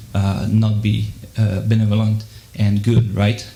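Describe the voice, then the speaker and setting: Amid noticeable background noise and audible room echo, a man with a French accent speaks in a fairly low pitch with monotone, flat intonation. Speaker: audience member asking a question. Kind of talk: audience Q&A. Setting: live debate with audience. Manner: halting, many fillers and repeats.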